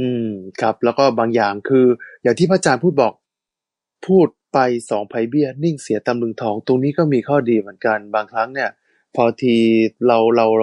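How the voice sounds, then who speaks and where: A man speaks in a normal speaking voice at a medium pitch, with ordinary pitch variation. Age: 40s. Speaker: radio host. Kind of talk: casual chat.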